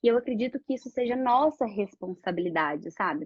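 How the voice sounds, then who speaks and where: A fairly quick pace carries this somewhat breathy voice. Its intonation is lively. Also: woman. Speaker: architect. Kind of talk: live-stream presentation. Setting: online live stream. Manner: fast.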